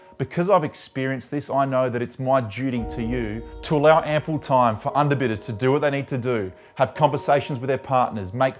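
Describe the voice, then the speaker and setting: This man speaks at a medium pitch and a fairly quick pace, with hardly any pauses and ordinary pitch variation. Music plays in the background. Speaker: auctioneer. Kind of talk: direct-to-camera profile pitch to property vendors.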